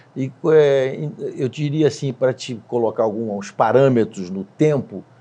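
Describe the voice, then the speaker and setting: A man with medium pitch and a dark, mellow tone speaks at a fairly slow pace with ordinary pitch variation. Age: 70s. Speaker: company CEO. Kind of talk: interview. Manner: hesitant.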